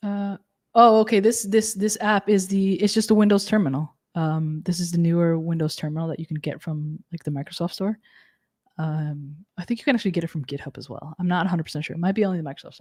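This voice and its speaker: A woman with a fairly low pitch and ordinary pitch variation speaks at a very fast pace, somewhat breathy, in a dry sound with no echo over a quiet background. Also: big swings in loudness. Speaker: cloud technology instructor. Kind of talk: live technical tutorial. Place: home room.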